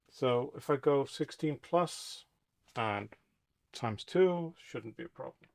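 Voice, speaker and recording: A man with a non-native accent speaks at a very slow pace, his fairly high voice showing lively intonation and big swings in loudness. The sound is dry and close with no echo, a very clean recording over a silent background. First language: not English. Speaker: boat restoration vlogger. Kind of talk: DIY tutorial narration. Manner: casual, hesitant musing.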